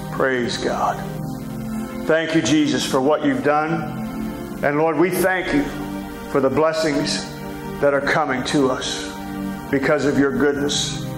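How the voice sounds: With clear music in the background, a man with a fairly high pitch speaks slowly, his intonation fairly even and his pauses long and frequent.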